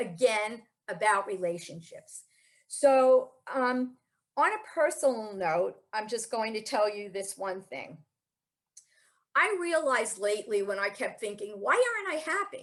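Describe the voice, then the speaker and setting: Her voice is a plain, everyday voice, fairly high in pitch. The woman speaks at a fairly slow pace with lively intonation. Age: 60s. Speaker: spiritual speaker. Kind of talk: talk. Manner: conversational.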